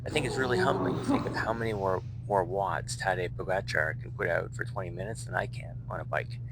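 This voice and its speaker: Over noticeable background noise and in audible room echo, a man talks at a very fast pace with hardly any pauses. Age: 50s. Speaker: fitness vlogger. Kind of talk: casual monologue. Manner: halting.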